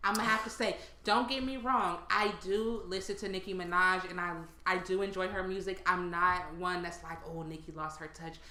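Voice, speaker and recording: A woman at medium pitch, with audible room echo and noticeable background noise. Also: moderate pace. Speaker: podcast co-host. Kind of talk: casual chat. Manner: projects to sound normal; animated.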